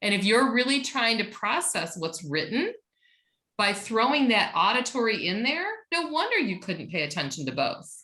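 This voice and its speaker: Loud and fairly high-pitched, a woman with a bright, sharp tone swings her pitch very widely amid audible room echo. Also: moderate pace. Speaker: teacher trainer. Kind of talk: online workshop presentation. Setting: video call.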